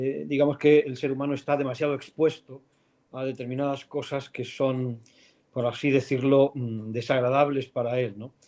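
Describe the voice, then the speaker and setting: A man's dark, mellow tone at a moderate pace, with monotone, flat intonation. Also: medium pitch for a man. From Spain, León. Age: 50s. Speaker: philosophy professor. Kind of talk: interview. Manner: thoughtful, hesitant.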